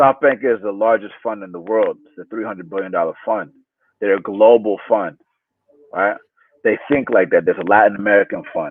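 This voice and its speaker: A man speaks at a fairly quick pace with a fairly low pitch and ordinary pitch variation. His loudness swings widely. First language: Spanish. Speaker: startup CEO. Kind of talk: video interview.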